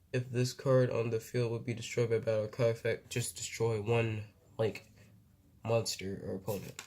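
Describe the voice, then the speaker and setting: A man talks in a monotone with flat intonation. His tone is dark and mellow, and somewhat breathy. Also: medium pitch for a man, moderate pace. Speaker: card game YouTuber. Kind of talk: card unboxing commentary. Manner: casual, filler-heavy; halting, self-described stuttering.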